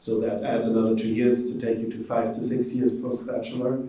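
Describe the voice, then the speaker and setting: A man speaks with a German accent. Room echo is audible. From Germany. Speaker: professor. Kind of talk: informational presentation. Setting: event presentation to prospective students.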